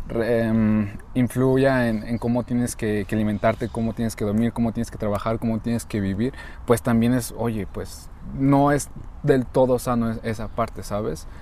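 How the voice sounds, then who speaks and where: Speaking at a moderate pace, a man has a dark, mellow tone at medium pitch and fairly even intonation. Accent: Mexican. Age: 20s. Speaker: podcast co-host, university student. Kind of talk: casual chat.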